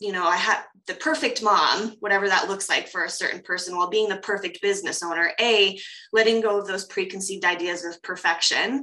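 In a normal speaking voice with a General American accent, a woman talks at a moderate pace and medium pitch, her intonation fairly even. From US, Colorado. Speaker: coach and professional dancer. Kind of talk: interview conversation. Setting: video call.

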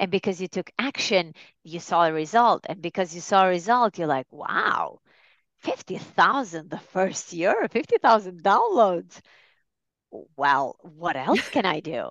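A woman with an ordinary speaking voice talks at a medium pitch and a fairly slow pace, her intonation lively, in a dry, close recording with no echo and a quiet background. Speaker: life coach. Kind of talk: casual interview chat.

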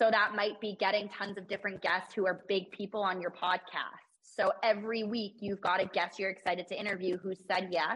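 An ordinary speaking voice from a woman at medium pitch, fairly quick pace and fairly even intonation, with hardly any pauses. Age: 20s. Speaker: podcast host and entrepreneur. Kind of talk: casual interview chat.

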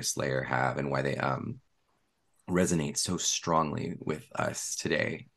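Bright and sharp in tone, a man with an American accent talks at a fairly slow pace with ordinary pitch variation and vocal fry. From US West Coast, San Francisco Bay Area. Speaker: tarot author. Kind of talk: casual interview.

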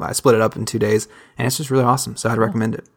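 A man with a Southern accent, talking at a very fast pace. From US South. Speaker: listener guest, conservative. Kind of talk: casual chat.

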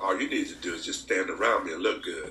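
Audible room echo surrounds a man speaking with an Alabama accent. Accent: Southern US (Alabama). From US South, Alabama. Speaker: pastor. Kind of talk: casual chat.

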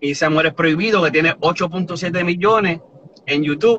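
A man with an unremarkable speaking voice, fairly high pitch and ordinary pitch variation. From New Jersey and Puerto Rico (born Boston). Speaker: reggaeton artist. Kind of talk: interview. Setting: live stream from home.

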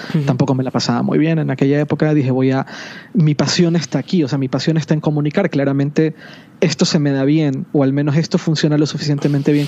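Over noticeable background noise, a man speaks at a fairly high pitch with monotone, flat intonation. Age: 40s. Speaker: tech blogger and media company CEO. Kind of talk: casual chat.

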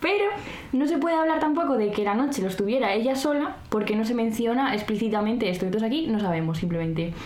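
A woman talks at a very fast pace in a fairly high pitch, with audible room echo and noticeable background noise. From Spain, La Rioja (Arnedillo). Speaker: podcast co-host. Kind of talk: casual chat with scripted segments.

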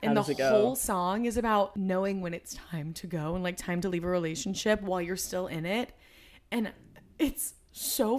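A woman talks with a normal speaking voice, at medium pitch, with ordinary pitch variation and a moderate pace. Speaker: podcast co-host.

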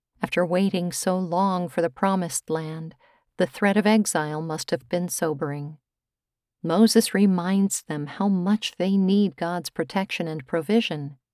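Recorded very cleanly against a silent background with a dry, close sound and no echo, a woman speaks in a normal speaking voice at a fairly low pitch, a fairly slow pace and ordinary pitch variation. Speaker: devotional host. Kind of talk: devotional reflection.

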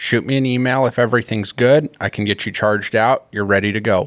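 A man with an American accent has an unremarkable speaking voice at medium pitch and fairly even intonation. The recording is very clean, with a silent background and a dry, close sound with no echo. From Colorado. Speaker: hunting tags consultant. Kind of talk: casual interview.

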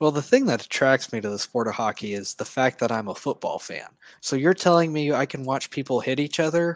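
A man with an American accent talks at a fairly quick pace and ordinary pitch variation. He has an unremarkable speaking voice, with a dry, close sound and no echo. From Oklahoma. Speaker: sports fan, graduate student. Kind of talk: casual interview. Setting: video call.

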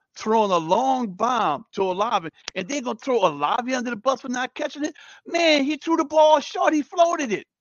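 This man's voice has very wide pitch swings and an animated tone. He talks at a fairly quick pace. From New Orleans, Ninth Ward. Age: 50s. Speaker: teacher, sports fan guest. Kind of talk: casual chat.

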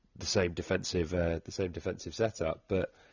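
A man with a Welsh accent speaks at a moderate pace. His pitch is very deep and low, his intonation monotone and flat. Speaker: rugby podcast host. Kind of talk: casual chat.

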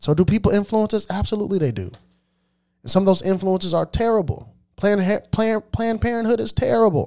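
A man with a high-pitched voice talks in an animated tone at a fairly quick pace, with ordinary pitch variation and long, frequent pauses. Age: 30s. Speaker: podcast host. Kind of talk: opinion monologue.

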